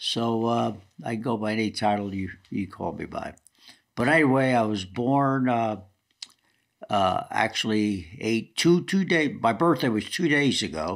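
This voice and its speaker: Over a silent background on a very clean recording, a man with a medium pitch speaks at a fairly slow pace with lively intonation. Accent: New Jersey. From New Jersey, Newark. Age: 80s+. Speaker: retired football coach. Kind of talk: autobiographical interview.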